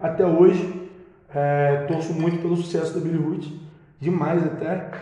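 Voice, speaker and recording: Amid noticeable background noise and audible room echo, a man with a high pitch speaks at a fairly slow pace in a monotone, flat intonation. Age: 20s. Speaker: musician and music producer. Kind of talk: casual chat.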